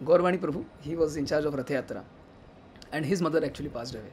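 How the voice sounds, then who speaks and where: Very fast speech from a man, fairly high in pitch, the intonation fairly even. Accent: strong Indian. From India. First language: Hindi. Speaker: devotee speaker. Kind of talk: remembrance talk.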